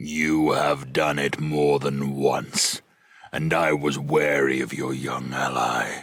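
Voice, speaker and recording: Putting on a character voice, a man delivers a raspy, menacing, very deep and low growl at a very slow pace. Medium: read story.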